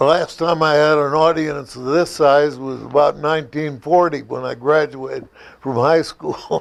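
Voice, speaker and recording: A fairly high-pitched man with an American accent speaks in a monotone, flat way. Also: moderate pace. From US Midwest, Ackley, Iowa. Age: 90s. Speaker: war veteran. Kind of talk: public talk. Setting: museum audience, own microphone.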